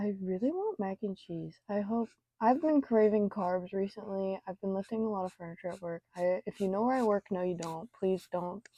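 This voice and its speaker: In a dry, close recording with no echo, a woman with a dark, mellow tone speaks at a moderate pace and medium pitch, with ordinary pitch variation. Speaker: artist vlogger. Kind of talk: casual talk while drawing.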